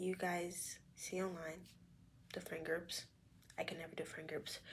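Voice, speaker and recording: A woman talks at a fairly slow pace in a somewhat breathy, fairly low voice. Her intonation is monotone and flat. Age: young. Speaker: vlogger and sonography student. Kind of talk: casual talk to camera. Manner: candid, reflective.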